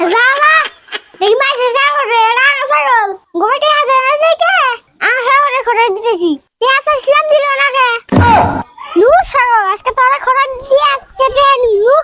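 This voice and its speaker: This is a man doing a put-on character voice. His pitch is extremely high. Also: moderate pace. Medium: short film. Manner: rural dialect, scheming.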